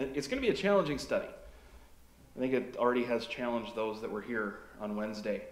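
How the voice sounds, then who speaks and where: A man speaks with an American accent, and the room echo is audible. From Fargo, North Dakota, USA. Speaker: pastor. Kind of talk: sermon to a congregation. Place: church.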